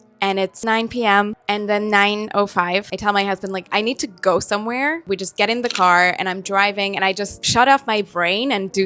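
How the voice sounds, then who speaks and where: A woman with a Hungarian accent speaks at a moderate pace in a medium pitch, her bright, sharp tone carried by fairly even intonation. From Hungary. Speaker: actress and vlogger. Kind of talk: personal vlog talk.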